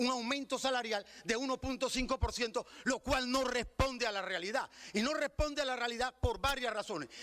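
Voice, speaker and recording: A man speaks in a raised, projected voice. His pitch is extremely high, with ordinary pitch variation. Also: dry, close sound with no echo. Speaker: citizen speaker at legislative hearing. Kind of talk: public testimony at legislative debate. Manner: fast.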